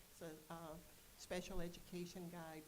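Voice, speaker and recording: The speech moves at a moderate pace. Audible room echo can be heard. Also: woman. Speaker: board member, parent representative and nurse. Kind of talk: self-introduction at a board meeting. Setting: board meeting.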